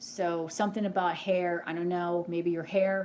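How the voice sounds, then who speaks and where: Here is a woman with an unremarkable speaking voice, pitched in the medium range. She moves at a moderate pace with fairly even intonation. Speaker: tarot reader. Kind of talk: live psychic reading. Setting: live stream.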